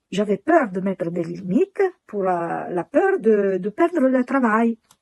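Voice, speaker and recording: A woman with an Italian accent speaks at a fairly high pitch with very wide pitch swings, in a dry, close sound with no echo. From Italy. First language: Italian (speaking French). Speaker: client giving testimonial. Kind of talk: testimony. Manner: halting.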